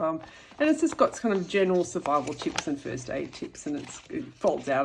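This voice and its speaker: Noticeable background noise sits behind the voice. A woman with an Australian accent talks at a moderate pace. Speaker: YouTuber. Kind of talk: show-and-tell tutorial. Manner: casual, hesitant with fillers.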